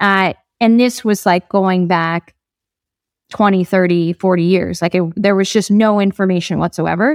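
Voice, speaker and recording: Talking at a moderate pace with a New Jersey accent, a woman keeps her loudness very even in a very clean recording with a silent background and a dry, close sound with no echo. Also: medium pitch for a woman, fairly even intonation. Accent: American (New Jersey). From New Jersey, US. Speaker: startup founder. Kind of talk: interview.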